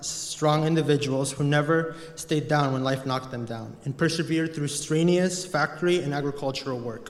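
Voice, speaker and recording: At a moderate pace and fairly high pitch, a man talks with fairly even intonation amid noticeable background noise and audible room echo. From Mexico. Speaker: college student. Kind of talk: speech. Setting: chapel with audience.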